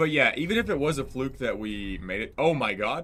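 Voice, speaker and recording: Very wide pitch swings from a man, delivered at a moderate pace. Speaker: gaming streamer. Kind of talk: live gameplay stream chat. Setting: live stream with chat. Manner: casual, halting with fillers.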